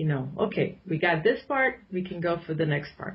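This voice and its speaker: Somewhat breathy female speech with lively intonation. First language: Arabic. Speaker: political commentator. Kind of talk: radio interview.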